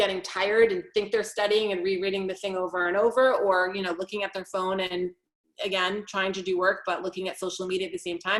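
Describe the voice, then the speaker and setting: This woman has a medium pitch and talks at a fairly quick pace. Her intonation stays monotone and flat. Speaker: executive functioning coach. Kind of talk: webinar presentation. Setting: online webinar. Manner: fast.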